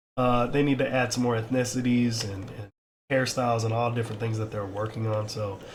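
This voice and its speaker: Somewhat breathy, a man talks at a medium pitch and fairly quick pace, with audible room echo. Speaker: crypto and metaverse YouTuber. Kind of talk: casual gameplay walkthrough. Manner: hesitant, many fillers.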